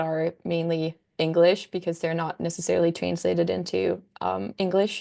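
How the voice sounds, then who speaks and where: A woman with a Danish accent, at a moderate pace. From Denmark. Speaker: content creator. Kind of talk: casual chat. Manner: hesitant, many fillers.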